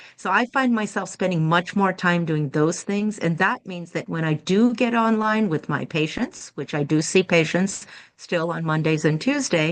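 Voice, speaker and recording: Over a quiet background, a woman with a fairly low pitch speaks at a moderate pace in a plain, everyday voice, with ordinary pitch variation and hardly any pauses. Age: 60s. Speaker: integrative medicine physician. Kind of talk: podcast interview.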